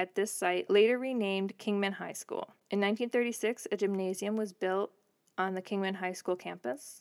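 On a very clean recording with a silent background and a dry, close sound with no echo, a woman with an American accent speaks at a moderate pace in a medium pitch with fairly even intonation. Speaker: podcast co-host. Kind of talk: reading researched notes aloud. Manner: newsreader-like delivery.

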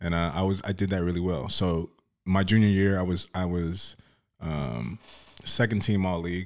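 In an American accent, a man speaks with a very deep, low pitch and ordinary pitch variation. The pace is moderate, and the recording is very clean with a silent background. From South Oxnard, California. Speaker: bodyguard, former college basketball player. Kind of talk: casual interview. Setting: studio.

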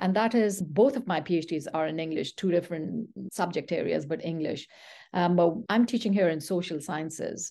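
A dark, mellow tone at a moderate pace, with ordinary pitch variation and a quiet background. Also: woman, fairly low pitch for a woman. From Peshawar, Pakistan. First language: Pashto. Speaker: university professor. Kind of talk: interview, academic discussion.

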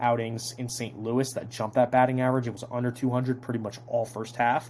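A man with an American accent speaks at a very fast pace in a flat monotone. His voice is medium in pitch and somewhat breathy. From New Jersey (Toms River). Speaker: sports podcast host. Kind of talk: casual solo sports analysis podcast.

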